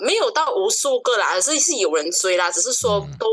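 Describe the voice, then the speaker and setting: This woman has a Malaysian accent. She talks at a moderate pace. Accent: Malaysian Chinese Mandarin. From East Malaysia, Sarawak (Kuching). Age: 20s. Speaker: podcast guest. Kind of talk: casual chat.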